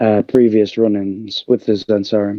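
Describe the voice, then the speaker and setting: A man speaks with a fairly low pitch and a dark, mellow tone. His intonation is flat and monotone. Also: dry, close sound with no echo. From England. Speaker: tabletop game player. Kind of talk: tabletop game session. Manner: halting, many fillers.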